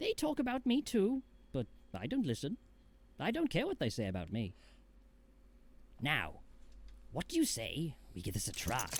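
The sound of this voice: A man's cartoonish character voice, high in pitch, at a moderate pace with long, frequent pauses.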